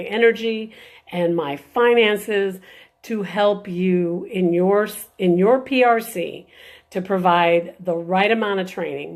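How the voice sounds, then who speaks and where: In an ordinary speaking voice, a woman talks at a fairly slow pace with ordinary pitch variation, on a very clean recording with a silent background. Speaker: birth mother and adoption advocate. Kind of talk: live video talk. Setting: live stream.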